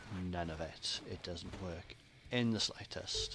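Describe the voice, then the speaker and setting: A man speaks at a very deep, low pitch against noticeable background noise. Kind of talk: gameplay commentary. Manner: casual, chatty.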